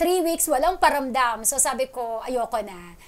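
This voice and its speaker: A woman's high-pitched voice at a moderate pace. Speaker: radio DJ. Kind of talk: interview.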